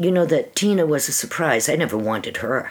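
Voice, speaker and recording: A woman's voice over noticeable background noise. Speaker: interview guest sharing life story. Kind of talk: personal testimony in casual interview. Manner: halting, with fillers and restarts.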